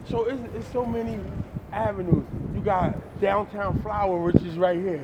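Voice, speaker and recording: A man with an American accent speaks at a moderate pace and a high pitch, with very wide pitch swings and big swings in loudness. Audible room echo and noticeable background noise are present. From New Jersey, Jersey City. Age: 50s. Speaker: professor. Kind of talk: casual chat.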